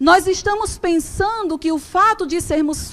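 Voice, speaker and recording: A woman speaks in an animated tone with lively intonation. Her pace is fairly slow. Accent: Brazilian. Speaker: preacher. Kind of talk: sermon. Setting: church.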